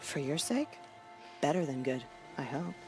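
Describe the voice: A woman puts on a character voice, low-pitched and slightly mellow, with big pitch swings at a fairly slow pace. Faint music plays in the background.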